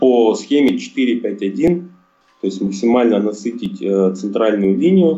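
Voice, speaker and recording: A man talks at a moderate pace. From Russia, Chelyabinsk. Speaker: football fan. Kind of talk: casual chat.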